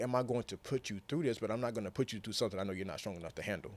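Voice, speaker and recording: An animated man on a very clean recording with a silent background. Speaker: motivational speaker. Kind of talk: podcast interview. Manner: halting.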